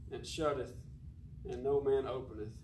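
A man talks at a fairly slow pace, his voice somewhat breathy. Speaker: preacher. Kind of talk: sermon. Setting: church.

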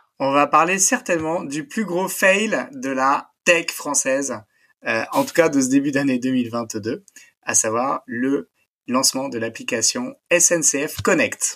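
A man with a fairly high pitch speaks very slowly, his intonation lively. The tone is bright and sharp. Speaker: tech podcast co-host. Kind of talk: casual chat. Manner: relaxing, calm; halting, many fillers.

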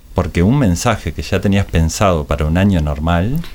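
Moderate pace against noticeable background noise. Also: man. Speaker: advertising agency director. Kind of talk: casual interview. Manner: halting, with frequent repetitions.

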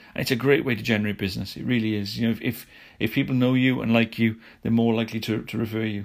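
Over a silent background in a very clean recording, a man rattles along at a very fast pace, medium in pitch and flat, monotone in intonation. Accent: British. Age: 40s. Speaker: podcast host, lawyer. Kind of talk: solo business news podcast. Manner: halting, many fillers and repetitions.

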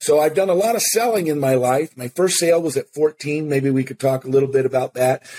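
Fairly high male voice with an American accent, a dark, mellow tone, ordinary pitch variation and a fairly quick pace, dry and close with no echo. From US Pacific Northwest, Seattle. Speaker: motivational speaker and author. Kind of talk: interview.

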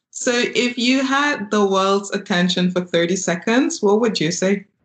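A somewhat breathy woman at a fairly slow pace, lively in intonation. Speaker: podcast host. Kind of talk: interview.

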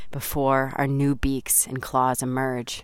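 Fairly slow speech from a woman with a very deep, low pitch. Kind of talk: spoken word poetry. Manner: intimate, confessional, raw, building from hushed pain to fierce, then tender.

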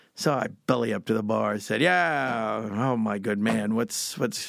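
The delivery moves at a fairly slow pace. The recording is very clean with a silent background, and the sound is dry and close with no echo. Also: man. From Bucks County, Pennsylvania. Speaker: tennis instructor and storyteller. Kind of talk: casual storytelling interview. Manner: animated.

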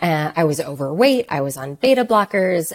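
Her sound is dry and close with no echo. The woman has a fairly low pitch with very wide pitch swings. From Canada, Toronto. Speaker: wellness entrepreneur, holistic nutritionist. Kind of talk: interview conversation. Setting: remote call.

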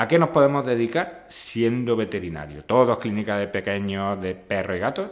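An ordinary speaking voice at a fairly quick pace on a very clean recording with a silent background. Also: man. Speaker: podcast host and veterinary lecturer. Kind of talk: casual interview.

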